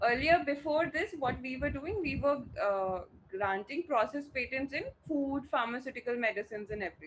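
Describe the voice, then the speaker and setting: A woman's high voice at a moderate pace, with lively intonation. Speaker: patent law teacher. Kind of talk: online class lecture.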